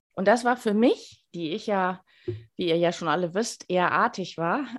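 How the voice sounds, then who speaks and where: In an ordinary speaking voice, a woman talks at a fairly slow pace and medium pitch with lively intonation. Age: 50s. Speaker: life coach and speaker. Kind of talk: radio interview.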